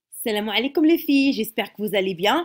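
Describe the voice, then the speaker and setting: A woman speaks in a fairly high voice with lively intonation. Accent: Moroccan. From Morocco. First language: Moroccan Arabic (speaking French). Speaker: YouTuber, mother. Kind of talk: casual vlog tutorial. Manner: halting, many hesitations.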